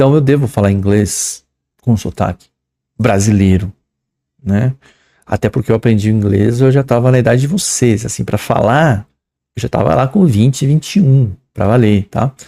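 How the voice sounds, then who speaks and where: A man's dark, mellow voice at medium pitch, with a moderate pace, long and frequent pauses, ordinary pitch variation, very even loudness, and a dry, close sound with no echo. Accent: São Paulo. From São Paulo, Brazil. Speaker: English teacher. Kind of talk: lecture. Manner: casual, conversational.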